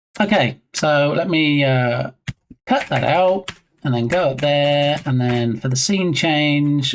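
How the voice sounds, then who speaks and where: Very slow speech in an English accent. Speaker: game developer streamer. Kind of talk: casual live-stream chat while coding. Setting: live stream. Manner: casual, chatty.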